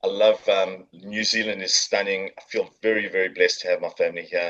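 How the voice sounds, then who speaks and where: A man with a South African accent talks at a fairly quick pace. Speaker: marketing agency founder. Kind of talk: podcast interview.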